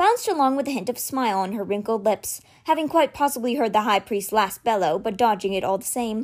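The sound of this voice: The clip carries an unforced reading voice.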